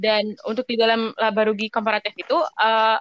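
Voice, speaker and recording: The sound is dry and close, with no echo. A woman speaks at a moderate pace and fairly high pitch. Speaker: business student. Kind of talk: peer explanation. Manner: hesitant, many fillers.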